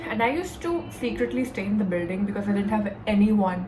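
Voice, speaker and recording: A woman speaks at a fairly quick pace in a medium pitch with ordinary pitch variation, with audible room echo and noticeable background noise. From India (Delhi). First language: Hindi. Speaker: YouTuber. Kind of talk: storytime vlog. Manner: casual, filler-heavy.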